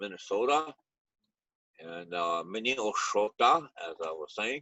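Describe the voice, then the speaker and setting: A man with a Lakota accent and lively intonation. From Pine Ridge Reservation, South Dakota. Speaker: retired teacher and powwow emcee. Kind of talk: casual panel Q&A. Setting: video call. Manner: halting, many fillers.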